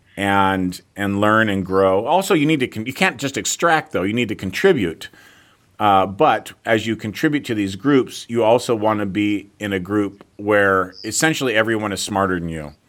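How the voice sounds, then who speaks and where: In a very clean recording with a silent background, a man with a plain, everyday voice speaks at a moderate pace and a fairly low pitch, with ordinary pitch variation. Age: 40s. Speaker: fitness entrepreneur and author. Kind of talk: interview.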